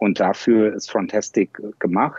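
A man speaks at a fairly low pitch in a monotone, flat delivery. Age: 40s. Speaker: e-commerce software founder. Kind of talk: casual interview.

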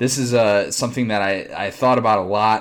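Moderate pace, ordinary pitch variation and an American accent from a man. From Chicago area. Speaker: sports podcast host. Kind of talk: casual chat. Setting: remote recording.

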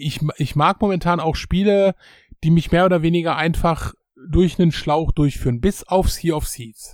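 Someone speaks at a moderate pace with ordinary pitch variation in a dry, close sound with no echo. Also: man, high pitch for a man. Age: 40s. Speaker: gaming podcast guest. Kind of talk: casual chat. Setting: remote call.

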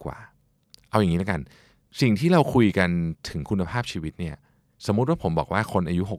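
Over a very clean, silent background, a man with a plain, everyday voice speaks at a fairly low pitch with lively intonation, the sound dry and close with no echo. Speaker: podcast host. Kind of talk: self-help talk.

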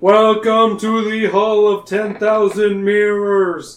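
With a put-on character voice, a man drags along at a very slow pace in a high pitch and a monotone, flat intonation, with a slight echo. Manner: ominous.

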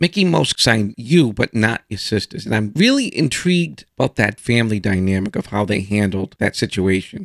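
An unremarkable speaking voice moves at a moderate pace with lively intonation, recorded with a dry, close sound and no echo. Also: man. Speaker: podcast host. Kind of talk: interview.

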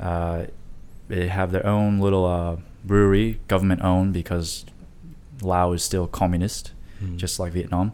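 A man's very deep, low pitch and dark, mellow tone, flat and monotone, at a fairly slow pace. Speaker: podcast guest. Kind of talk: casual chat.

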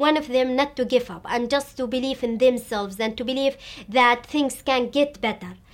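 A woman talks at a moderate pace in an Arabic accent, her high pitch held in fairly even intonation. The recording is very clean, with a silent background. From Syria. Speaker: education activist. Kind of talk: interview. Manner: halting, frequent fillers.

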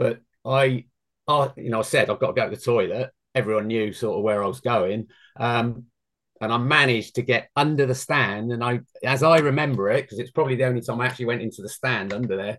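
Over a quiet background, a man talks at a very fast pace with a slight London accent. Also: medium pitch for a man, fairly even intonation. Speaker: former amateur football goalkeeper. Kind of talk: interview.

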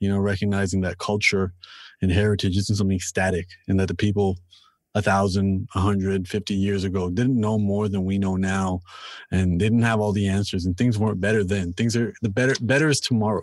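A plain, everyday voice from a man, fairly low in pitch, with fairly even intonation, very even loudness and a fairly quick pace, against a quiet background. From Canada, Toronto. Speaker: rapper and author. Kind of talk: casual interview chat. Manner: repeats words when starting sentences.

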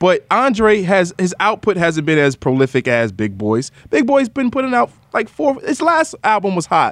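A man with a New York accent talks at a moderate pace in a high voice, his pitch swinging very widely while his loudness stays very even. The sound is dry and close, with no echo. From New York (Queens). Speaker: podcast host and music industry professional. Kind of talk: casual interview conversation.

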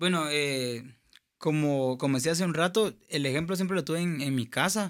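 With an ordinary speaking voice, a man at a fairly high pitch talks at a moderate pace with ordinary pitch variation and very even loudness, on a very clean recording with a silent background. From Guatemala, Escuintla. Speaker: singer and producer. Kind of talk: testimony.

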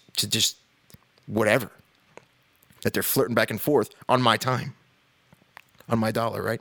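With an American accent, a man speaks in a bright, sharp tone, the sound dry and close with no echo. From New York. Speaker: podcast host. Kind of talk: casual rant monologue.

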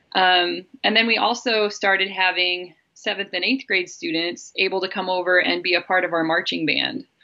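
A woman with an American accent has an unremarkable speaking voice. She keeps a moderate pace with hardly any pauses and ordinary pitch variation. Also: medium pitch for a woman. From Idaho, US. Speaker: band director. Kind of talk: interview.

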